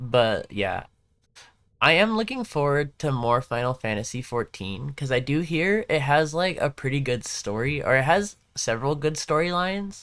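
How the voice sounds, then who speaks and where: The speaker has an American accent and a moderate pace. The recording is very clean, with a silent background. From Southern California. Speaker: gaming livestreamer. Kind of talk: casual livestream chat. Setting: live stream. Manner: casual, filler-heavy.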